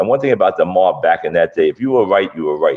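The speaker has a Brooklyn accent. The pace is very fast. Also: man. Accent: Brooklyn New York. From Brooklyn, New York (Gravesend). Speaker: fight promoter and martial arts instructor. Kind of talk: casual interview.

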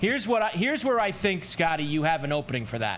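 A high-pitched man at a fairly quick pace, with very wide pitch swings and noticeable background noise. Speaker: co-host.

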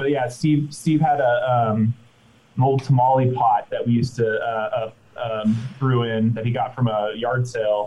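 A man speaks at a fairly slow pace with a medium pitch and a somewhat breathy sound. His intonation stays fairly even. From Orange County, California. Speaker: brewery co-founder. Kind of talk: casual interview. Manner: halting, many fillers.

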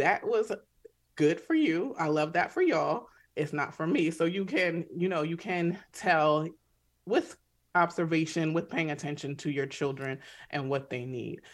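Fairly low in pitch, a woman speaks at a fairly slow pace with ordinary pitch variation on a very clean recording with a silent background. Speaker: psychiatrist. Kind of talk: radio interview. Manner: mellow.

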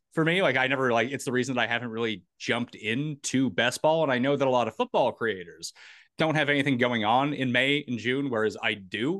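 Quick-paced, a man speaks with an ordinary speaking voice. His pitch is medium, with ordinary pitch variation. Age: 30s. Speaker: fantasy sports analyst. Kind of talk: casual chat.

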